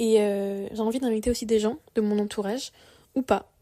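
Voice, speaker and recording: Her voice is fairly high in pitch yet dark and mellow in tone, and the woman speaks fairly slowly with monotone, flat intonation. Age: 20s. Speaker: podcaster. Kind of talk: personal monologue podcast. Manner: casual, hesitant with fillers.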